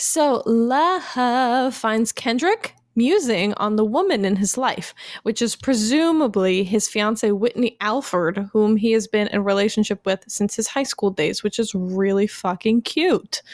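With an unremarkable speaking voice, a woman talks fairly slowly at a fairly high pitch, her loudness very even and her pitch variation ordinary, in a dry, close sound with no echo. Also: hardly any pauses. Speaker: podcast co-host. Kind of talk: casual banter chat.

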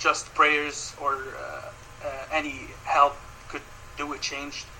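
A man's fairly high-pitched voice comes through with noticeable background noise in the mix. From Ukraine. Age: 20s. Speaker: medical student. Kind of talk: interview. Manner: halting.

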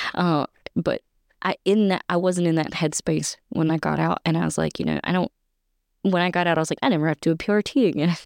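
Speaking at a very fast pace with very even loudness, a woman is heard in a very clean, dry, close recording with no echo and a silent background. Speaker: military spouse and mother. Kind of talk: casual chat.

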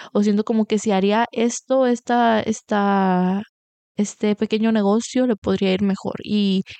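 At a fairly slow pace, a woman of medium pitch speaks in a monotone, flat intonation. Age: 20s. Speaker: podcast host. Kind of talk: casual monologue. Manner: halting, repetitive.

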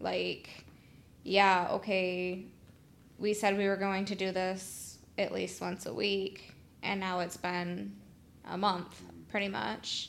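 Very slow speech from a woman, broken by long, frequent pauses. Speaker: podcast co-host, entrepreneur. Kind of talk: casual chat.

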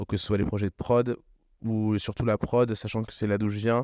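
Dry and close with no echo, a man speaks at a moderate pace with a dark, mellow tone, fairly low pitch, and monotone, flat intonation over a quiet background. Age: 20s. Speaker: agency founder and CEO. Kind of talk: interview. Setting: living room.

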